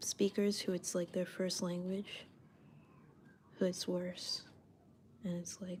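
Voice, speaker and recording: Speaking at a very slow pace, a woman's somewhat breathy voice stays monotone and flat, broken by long, frequent pauses. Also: medium pitch for a woman. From Canada. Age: 20s. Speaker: artist livestreamer. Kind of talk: casual livestream chat while drawing. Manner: casual, chatty.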